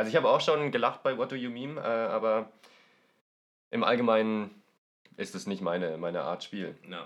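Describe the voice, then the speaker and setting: Long, frequent pauses break up a man's speech at a moderate pace. His loudness rises and falls in big swings. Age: 20s. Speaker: board game podcast guest. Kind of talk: casual chat.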